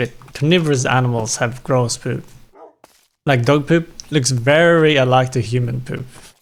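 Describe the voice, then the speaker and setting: A man of medium pitch speaks with a non-native accent and fairly even intonation. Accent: non-native English accent, self-noticed. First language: not English. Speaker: streamer playing video games. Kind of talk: casual live-stream chat. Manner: casual, rambling with self-corrections.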